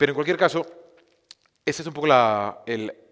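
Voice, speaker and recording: The pace is fairly quick. The man's intonation is lively. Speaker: film streaming platform cofounder, speaker. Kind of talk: conference talk. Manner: fast; hesitant, many fillers and restarts.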